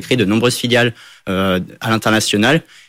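The background is silent and the recording very clean. A man with a fairly low pitch talks at a fairly quick pace. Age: 20s. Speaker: engineering student. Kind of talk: interview. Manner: halting.

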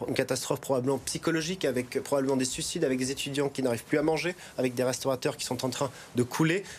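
Talking very fast, a man holds a medium pitch with fairly even intonation. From France, Haute-Savoie. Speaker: regional election candidate, politician. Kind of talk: political TV interview.

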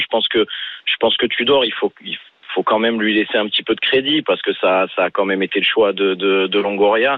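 This is a man at a medium pitch with a plain, everyday voice. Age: 30s. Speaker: football supporter caller. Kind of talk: phone-in call.

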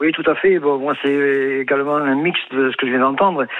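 Speaking at a fairly quick pace in a southern French accent, a man uses fairly even intonation and a fairly high pitch. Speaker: horse racing bettor. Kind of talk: phone-in. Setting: phone call.

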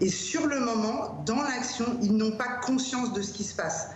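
Noticeable background noise and audible room echo surround this clip. A woman talks at a fairly slow pace. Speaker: youth worker. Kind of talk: interview testimony. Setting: video call. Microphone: Skype call audio.

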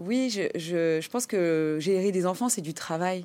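A woman talks at a fairly slow pace. Her recording is very clean and the background is silent. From France, Compiègne, Portuguese immigrant parents. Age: 30s. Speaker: entrepreneur. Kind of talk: interview. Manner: hesitant, many repetitions and fillers.

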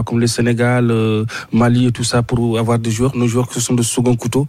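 With a dark, mellow tone, a man talks at a medium pitch and moderate pace in monotone, flat intonation. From Mauritania. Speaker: sports journalist. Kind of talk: radio interview. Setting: radio studio in Abidjan.

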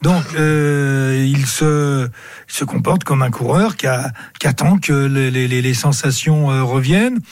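A man's fairly high, somewhat breathy voice at a very slow pace, with ordinary pitch variation. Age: old. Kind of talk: live radio sports talk.

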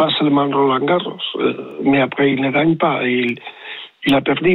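The pitch of this man's voice is fairly high. His intonation stays fairly even. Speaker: tennis coach. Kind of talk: radio interview. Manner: halting, searching for words.

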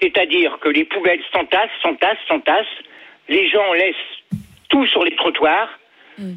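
Amid noticeable background noise, a man speaks at a high pitch with ordinary pitch variation. His pace is fairly slow, with long, frequent pauses. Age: 60s. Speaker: retired logistics worker, radio caller. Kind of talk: phone-in call. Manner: hesitant.

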